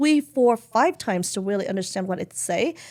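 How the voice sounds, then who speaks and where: Speaking at a moderate pace with a non-native accent, a woman sounds animated, her pitch fairly high. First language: not English. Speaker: beauty company founder and CEO. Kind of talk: podcast interview.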